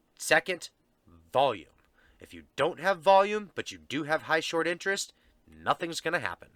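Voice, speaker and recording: A man speaks at a moderate pace in a bright, sharp tone, the sound dry and close with no echo on a very clean recording with a silent background. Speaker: stock market youtuber. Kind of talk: stock analysis talk. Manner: casual with fillers.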